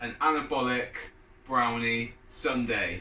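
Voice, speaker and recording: Over noticeable background noise and audible room echo, a man speaks with a British accent. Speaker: fitness YouTuber, personal trainer. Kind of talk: cooking tutorial. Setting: home kitchen. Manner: casual, chatty.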